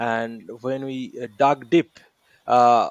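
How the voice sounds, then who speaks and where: This man talks at medium pitch with an Indian accent, recorded with a dry, close sound and no echo. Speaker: podcast host, training academy founder. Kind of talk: podcast interview. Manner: many fillers, halting.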